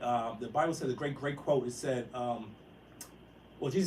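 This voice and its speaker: A somewhat breathy man speaks at a medium pitch and a fairly quick pace. Room echo is audible. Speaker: impressionist and actor. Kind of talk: motivational talk. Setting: live stream. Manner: very fast; stuttering repetitions.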